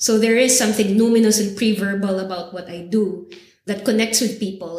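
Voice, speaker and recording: A woman talks at a moderate pace in a flat monotone. Her voice carries audible room echo. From Philippines, Manila. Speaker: vocal artist and cultural geographer. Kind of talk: interview conversation. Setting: university recording session.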